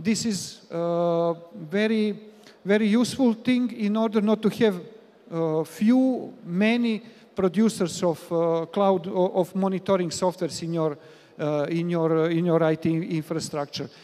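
A man's high-pitched, dark and mellow voice, fairly slow, with fairly even intonation. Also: few pauses.

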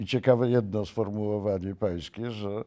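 A man's dark, mellow voice, fairly low in pitch, at a moderate pace with fairly even intonation, against a quiet background. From Poland. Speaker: interviewer. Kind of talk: interview. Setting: video call. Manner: formal. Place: studio. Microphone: lapel.

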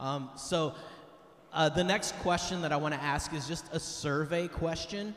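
Audible room echo around a man's speech. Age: 50s. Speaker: retreat team speaker; speaker. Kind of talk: retreat talk to teens. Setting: church with audience. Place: church. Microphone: handheld.

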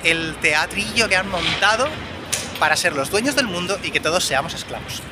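Lively intonation with clear background noise. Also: man.

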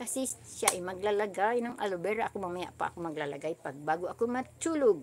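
Against noticeable background noise, a woman talks at a fairly quick pace with very wide pitch swings. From Philippines. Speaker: YouTube vlogger; craft vlogger. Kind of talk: livestream craft tutorial. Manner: animated. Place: home room.

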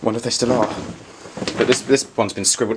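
A man at a fairly quick pace against loud background noise. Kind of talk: casual vlog chat. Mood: startled, tense. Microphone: phone near.

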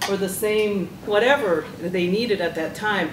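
A woman speaks with ordinary pitch variation. Audible room echo and light background noise are present. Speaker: panelist. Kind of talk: panel discussion answer. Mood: warm, reflective. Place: meeting room. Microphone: handheld.

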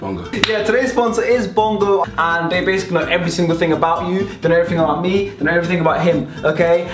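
A woman speaks at a very fast pace with hardly any pauses and ordinary pitch variation. Clear music can be heard in the background. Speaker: youtuber host. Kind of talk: casual vlog chat with sponsor read. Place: home room. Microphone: camera far.

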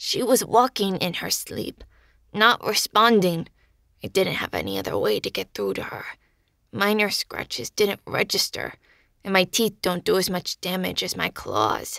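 A woman's raspy, put-on character voice at a medium pitch and moderate pace, in a very clean recording with a silent background. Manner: dry, haughty, matter-of-fact.

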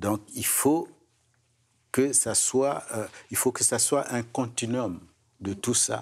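A man talks at a very slow pace, with long, frequent pauses, ordinary pitch variation and a quiet background. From another culture, outside Quebec. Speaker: gerontologist; guest. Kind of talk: panel discussion. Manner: repeats words, stammering. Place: studio. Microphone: lapel.

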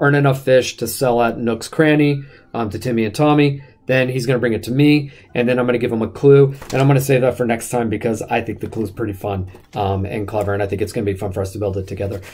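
Very fast and somewhat breathy, a man talks with ordinary pitch variation. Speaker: school staff livestream host. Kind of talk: casual livestream game commentary.

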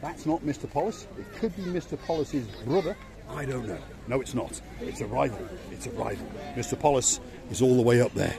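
With crowd noise behind him, a man speaks at a fairly quick pace with lively intonation in a dry sound with no echo. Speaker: travel vlogger. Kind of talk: casual vlog chat. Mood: cheerful, joking. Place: street. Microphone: phone near.

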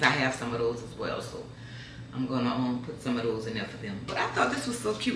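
Audible room echo and light background noise around a woman's voice. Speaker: home decor vlogger. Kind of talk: casual vlog chat. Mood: pleased, excited. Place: kitchen. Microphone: camera far.

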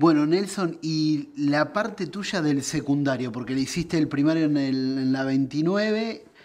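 Fairly slow in pace, a man speaks at a fairly high pitch with ordinary variation. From Argentina, Buenos Aires province. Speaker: interviewer. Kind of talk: interview. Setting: indoors during cooking show. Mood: relaxed, friendly. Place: home room.

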